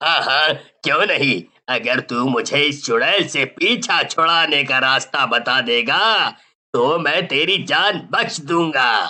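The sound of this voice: Using a cartoonish character voice, a man speaks very slowly at a fairly high pitch.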